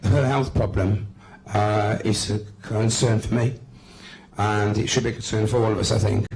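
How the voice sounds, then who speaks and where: In a West Midlands accent, a man talks with a fairly low pitch and monotone, flat intonation. Long, frequent pauses break up his speech amid noticeable background noise. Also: very even loudness. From West Midlands, England. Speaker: political activist. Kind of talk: speech at a public meeting. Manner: hesitant, many fillers and repetitions.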